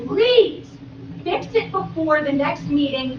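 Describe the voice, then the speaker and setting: With an American accent and an animated tone, a woman speaks at a fairly slow pace amid audible room echo and noticeable background noise. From New Jersey, Gloucester County. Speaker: public commenter at township meeting. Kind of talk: public comment at council meeting. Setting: public meeting with audience, PA microphones. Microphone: poor meeting microphone system.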